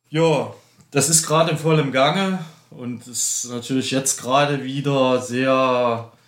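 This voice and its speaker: A man of medium pitch speaks very slowly with fairly even intonation. Room echo is audible. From eastern Germany, Dresden (Saxony). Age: 50s. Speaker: ultracyclist. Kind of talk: casual interview. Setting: studio, face to face.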